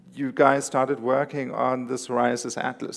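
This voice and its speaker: A man speaks at a medium pitch with vocal fry. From South Africa. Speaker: conference moderator. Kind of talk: conference moderation. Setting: conference stage with audience.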